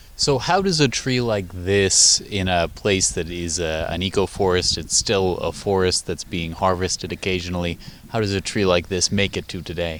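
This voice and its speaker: Over noticeable background noise, a man with a very deep, low voice talks with hardly any pauses. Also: ordinary pitch variation, moderate pace. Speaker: radio host. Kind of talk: radio news narration and interview questions.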